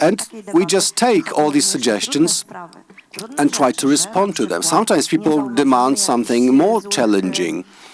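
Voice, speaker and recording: With very wide pitch swings, a man talks fairly slowly as noticeable background noise plays underneath. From Poland, Poznań area. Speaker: school teacher or head. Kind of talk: conference panel talk. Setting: conference hall, live stream. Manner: halting, with hesitations.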